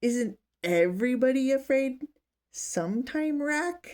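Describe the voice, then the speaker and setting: This is a put-on character voice with lively intonation. It moves at a fairly slow pace. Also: woman, high pitch for a woman. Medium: read story.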